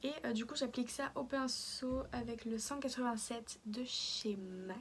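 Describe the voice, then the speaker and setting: The woman's pitch is high, with ordinary variation. She talks at a very slow pace. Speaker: beauty vlogger. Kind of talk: makeup tutorial. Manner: halting, many hesitations; softer than usual.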